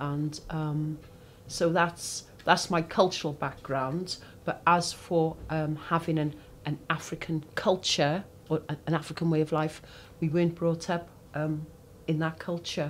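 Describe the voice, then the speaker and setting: Fairly slow, monotone speech with flat intonation. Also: woman, very deep, low pitch for a woman. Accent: Cardiff. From Wales, Cardiff (Ely). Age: 60s. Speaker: interviewee. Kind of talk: oral history interview. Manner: hesitant, many fillers.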